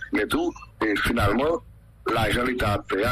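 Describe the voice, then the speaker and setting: A man is talking at a moderate pace. Background noise can be clearly noticed. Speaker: local official. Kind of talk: radio interview.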